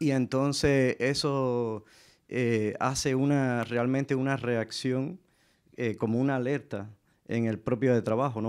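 Against a quiet background, the speech moves at a fairly slow pace with fairly even intonation. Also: man. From Cuba. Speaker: artist; panelist. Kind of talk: panel discussion. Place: stage. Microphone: handheld.

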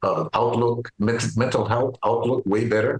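Against a quiet background, a man speaks at a fairly slow pace. His voice is somewhat breathy. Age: 70s. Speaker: retired farmer and powerlifter. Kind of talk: interview answer. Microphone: video call.

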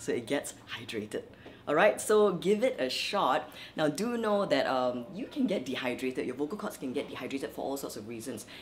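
Over noticeable background noise, a woman with a very deep, low pitch talks at a fairly quick pace with very wide pitch swings. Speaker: vocal coach. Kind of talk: tutorial. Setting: at her workplace.

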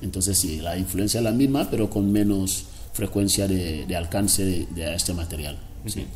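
With music in the background, a man speaks at a very deep, low pitch. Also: ordinary pitch variation, moderate pace. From Equatorial Guinea, Río Muni interior (Fang region). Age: 40s. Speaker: cartoonist and former political prisoner. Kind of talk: interview. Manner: halting, with many repetitions. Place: home room.

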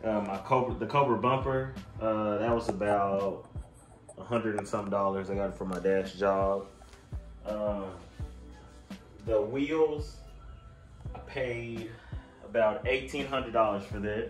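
Against faint background music and audible room echo, a man with a fairly low pitch and ordinary pitch variation talks at a very slow pace with long, frequent pauses. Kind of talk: casual vlog chat. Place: garage. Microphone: phone near.

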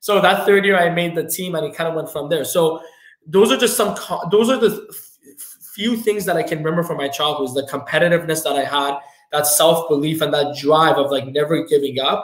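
In a quiet room with audible echo, a man with a fairly high voice speaks at a fairly quick pace with ordinary pitch variation. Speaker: entrepreneur, financial firm owner. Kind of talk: podcast interview. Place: office.

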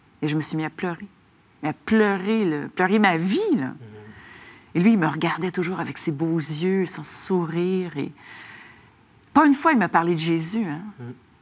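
Lively intonation at a fairly slow pace, broken by long, frequent pauses. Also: woman, fairly low pitch for a woman. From Quebec. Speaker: author, recovered addict giving testimony; interview guest. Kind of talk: faith testimony interview. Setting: TV studio. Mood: warm, emotional personal testimony. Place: studio. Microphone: lapel.

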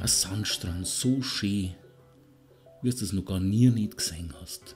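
With music in the background, a man with a Bavarian accent speaks very slowly in a calm tone, his fairly low pitch showing ordinary variation. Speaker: hypnotherapist. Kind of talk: guided relaxation hypnosis. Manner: calm, slow.

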